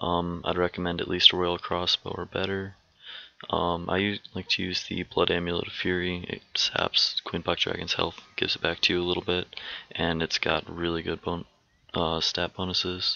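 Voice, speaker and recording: The voice is shaky and monotone, with flat intonation, at a moderate pace. Noticeable background noise runs underneath. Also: man, very deep, low pitch for a man. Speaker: gamer making game guides. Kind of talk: game tutorial voice-over. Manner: shaky, stuttery.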